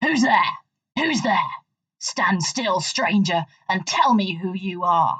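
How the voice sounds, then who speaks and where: A female-sounding voice puts on a growling character voice at a medium pitch, with long, frequent pauses. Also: fairly slow pace. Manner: threatening, demanding.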